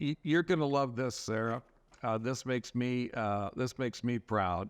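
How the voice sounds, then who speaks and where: An ordinary speaking voice comes from a man with an American accent, medium pitch and ordinary pitch variation. He keeps a moderate pace over a quiet background. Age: 60s. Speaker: veterinarian. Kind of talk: podcast interview.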